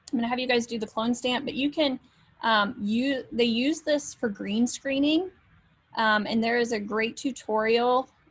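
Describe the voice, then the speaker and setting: A woman with a high-pitched voice talks at a fairly slow pace, her pitch varying in an ordinary way. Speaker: instructor. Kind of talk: lecture.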